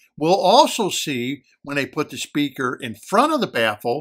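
The speaker is a man. His surroundings are quiet. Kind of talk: explanatory commentary. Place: home room. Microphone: phone near.

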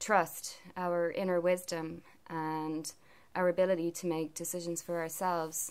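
A woman's fairly low-pitched voice at a fairly slow pace. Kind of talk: casual vlog chat. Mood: calm, reflective. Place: home room. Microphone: phone near.

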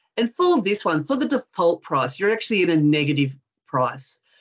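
A woman with an Australian accent and a fairly low voice, lively intonation at a moderate pace, over a quiet background. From Western Australia. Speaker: forestry industry representative; presenter. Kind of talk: webinar presentation. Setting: video call. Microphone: video call.

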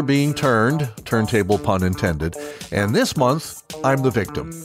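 A man talks at an even, moderate speed. Background music can be heard behind him. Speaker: veteran radio broadcaster and podcast host. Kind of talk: interview answer, storytelling.

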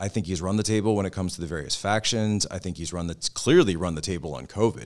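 Over a silent background in a very clean recording, a man with an American accent speaks in a very deep, low pitch with ordinary pitch variation. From Pennsylvania. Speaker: podcast host and political commentator. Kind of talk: interview.

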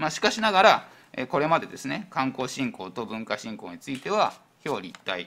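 His pitch swings very widely. The man's voice is fairly high. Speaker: town industry section chief. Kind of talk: formal council answer. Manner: hesitant, filler-heavy. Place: hall. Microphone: podium.

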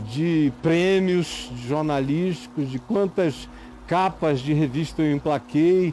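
Against light background noise, a man speaks at a very slow pace in a dry sound with no echo. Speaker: preacher giving a talk. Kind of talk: interview answer. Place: studio.

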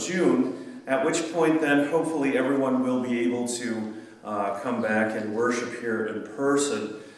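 A man speaks at a fairly slow pace. Strong room echo surrounds his voice. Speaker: pastor. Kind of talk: service welcome announcements. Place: church. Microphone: camera far.

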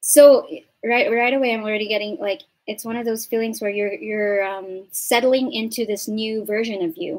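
Moderate pace and ordinary pitch variation in a woman's speech. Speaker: tarot reader. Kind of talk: tarot reading commentary. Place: home room. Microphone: studio mic.

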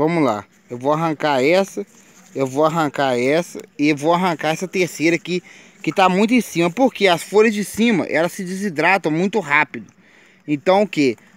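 A man speaks with a high pitch and an animated tone. The sound is dry with no echo. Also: lively intonation, moderate pace. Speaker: gardening YouTuber. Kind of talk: tutorial. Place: garden. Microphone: phone near.

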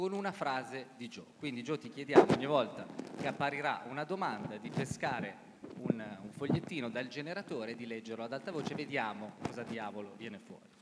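Loud background noise plays throughout. Over it, a man talks at a very fast pace. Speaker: pollster and co-author; host of live talk show. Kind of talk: comedic live segment. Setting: speaking from control room. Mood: playful, upbeat. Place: stage.

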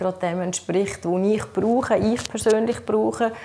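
A woman with a Swiss accent speaks at a moderate pace with fairly even intonation. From German-speaking Switzerland. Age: 50s. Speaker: patient sharing experience; interviewee. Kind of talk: interview testimony. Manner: halting, many fillers. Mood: calm, earnest. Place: home room.

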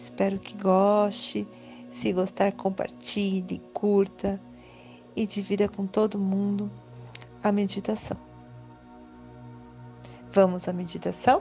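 The speech comes at a very slow pace in a calm tone, broken by long, frequent pauses, with music in the background. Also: woman. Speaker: meditation guide. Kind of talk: guided meditation. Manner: calm, slow.

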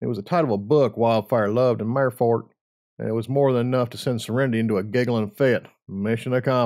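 Someone does plain reading aloud, keeping the intonation fairly flat. Behind it, things are quiet.

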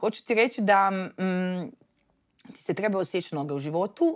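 A woman talks at a fairly slow pace with ordinary pitch variation over a quiet background. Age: 30s. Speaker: entrepreneur, media founder; podcast guest. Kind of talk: interview. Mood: relaxed, lively storytelling. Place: studio.

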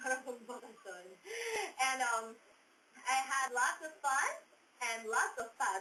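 Her voice is high in pitch with ordinary pitch variation. The woman speaks at a very slow pace with long, frequent pauses against noticeable background noise. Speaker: countdown show host. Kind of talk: casual chat. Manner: animated.

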